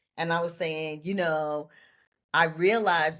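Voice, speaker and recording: A woman with a New York accent and a very deep, low pitch in a very clean recording with a silent background. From New York City (Brooklyn). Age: 60s. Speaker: laughter yoga leader and life coach. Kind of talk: interview conversation.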